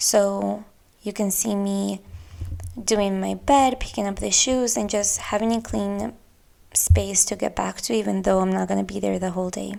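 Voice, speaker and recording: The pace here is moderate. The speaker, a woman, has a Spanish accent. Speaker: podcast host. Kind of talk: casual monologue.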